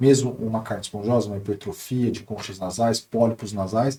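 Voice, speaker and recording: The man's voice is dark and mellow, somewhat breathy, and sits at a medium pitch. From Brazil, Taubaté (São Paulo state). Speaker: ENT doctor. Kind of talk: podcast interview.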